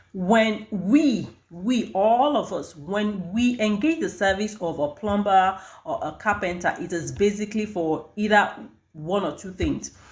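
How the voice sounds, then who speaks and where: A woman's somewhat breathy, medium-pitched voice has lively intonation and a fairly slow pace. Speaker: HR and recruitment professional. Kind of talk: advice vlog. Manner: halting.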